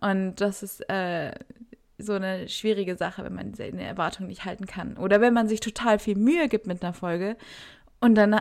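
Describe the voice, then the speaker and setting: A woman speaks in a normal speaking voice at a moderate pace. Her intonation stays fairly even. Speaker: podcast co-host, university student. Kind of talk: casual chat.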